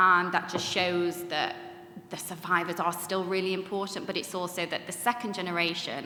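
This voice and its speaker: Someone with a Mancunian accent speaks at a moderate pace, with audible room echo and noticeable background noise. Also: woman. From Manchester, northern England. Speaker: Holocaust educator, third generation speaker. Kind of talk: panel discussion talk. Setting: conference room with audience.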